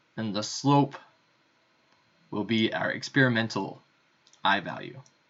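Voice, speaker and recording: At a fairly slow pace, a man with a normal speaking voice talks in a medium pitch with ordinary pitch variation. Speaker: physics lab instructor. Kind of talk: lecture. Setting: recorded remote lecture.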